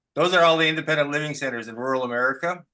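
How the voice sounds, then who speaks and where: With a plain, everyday voice, a man speaks at a fairly high pitch with ordinary pitch variation. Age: 60s. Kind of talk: casual chat. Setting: video call.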